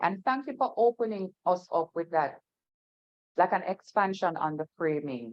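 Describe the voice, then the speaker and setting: Her intonation is lively as the woman talks. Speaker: talk show host. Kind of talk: panel discussion.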